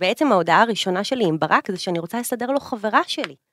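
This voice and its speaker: The tone is bright and sharp, moving at a fairly quick pace. The sound is dry and close, with no echo. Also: woman. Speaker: influencer and businesswoman. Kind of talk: casual chat. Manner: loud. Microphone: echo in the room.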